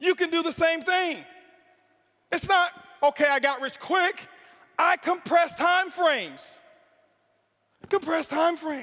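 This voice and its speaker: Shouting in a raised, projected voice, a man sounds intense, bright and sharp at an extremely high pitch, going fairly slowly with long, frequent pauses. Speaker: network marketing speaker. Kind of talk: motivational speech. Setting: stage with audience. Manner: intense, yelling.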